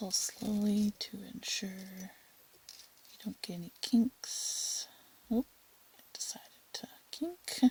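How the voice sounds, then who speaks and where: The voice is soft-spoken. It proceeds at a very slow pace. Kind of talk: tutorial. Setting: home at night.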